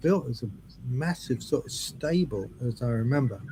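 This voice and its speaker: A man speaks with lively intonation in a somewhat breathy voice at a moderate pace. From southern England, Brighton. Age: 70s. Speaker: drummer. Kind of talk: interview.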